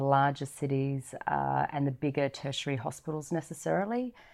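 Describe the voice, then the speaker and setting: On a very clean recording with a silent background, a woman with an Australian accent speaks at a moderate pace. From Northern Territory, Australia. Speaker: nurse and paramedic. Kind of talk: interview. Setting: studio.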